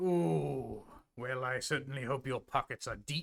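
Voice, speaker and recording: A man's put-on character voice at medium pitch and a moderate pace, in a very clean recording with a silent background. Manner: playful, gruff.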